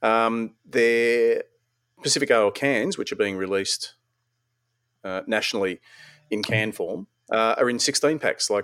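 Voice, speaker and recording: This man talks at a moderate speed, and the sound is dry and close, with no echo. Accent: Australian. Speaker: podcast host. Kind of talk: casual chat. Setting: online call recording.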